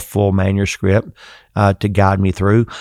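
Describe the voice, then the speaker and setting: A man at a fairly low pitch, in a very clean recording with a silent background and a dry, close sound with no echo. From US South. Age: 60s. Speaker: seminary president and preacher. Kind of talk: interview.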